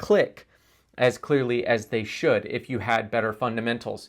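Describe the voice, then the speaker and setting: A man with an American accent speaks at a moderate pace with ordinary pitch variation. He has a normal speaking voice, and the recording is very clean with a silent background. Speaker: internet marketing trainer. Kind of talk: course introduction. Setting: on camera. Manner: casual, conversational.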